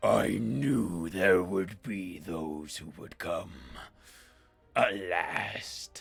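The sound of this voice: In a put-on character voice, a man booms and growls at a very deep, low pitch, speaking at a very slow pace with faint music in the background.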